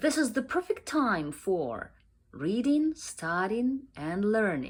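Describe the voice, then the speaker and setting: Her pitch fairly high and swinging very widely, a woman speaks with a Ukrainian accent at a fairly slow pace. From Ukraine. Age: young. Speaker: book reviewer. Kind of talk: casual vlog talk. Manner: halting, many fillers.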